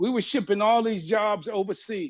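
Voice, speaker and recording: A man speaks in a high-pitched voice. The background is quiet. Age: 70s. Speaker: business executive panelist. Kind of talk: panel webinar talk. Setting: video webinar. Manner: animated.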